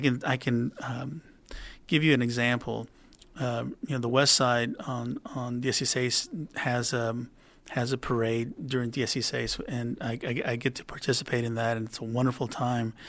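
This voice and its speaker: A man with a South Texas accent speaks at a moderate pace and medium pitch, his bright, sharp tone held in a monotone, flat intonation on a very clean recording with a silent background. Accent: South Texas American. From Rio Grande Valley, Texas (McAllen). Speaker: city councilman. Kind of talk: interview. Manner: halting, many fillers and repetitions.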